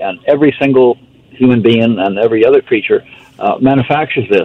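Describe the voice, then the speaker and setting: This man's medium-pitched voice competes with noticeable background noise. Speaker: supplement company representative. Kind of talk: casual chat.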